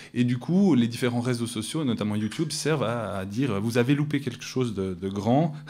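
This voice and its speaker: A man with a Swiss accent, ordinary pitch variation, and audible room echo. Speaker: academic researcher. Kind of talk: conference talk. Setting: conference room with audience. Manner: hesitant, many fillers. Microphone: too far from the microphone.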